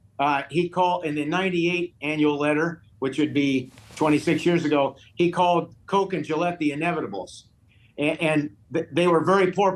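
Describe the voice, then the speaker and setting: Speaking at a moderate pace, a man with a fairly high pitch keeps his intonation fairly even. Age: 60s. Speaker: investment manager. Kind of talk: TV news interview. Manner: halting.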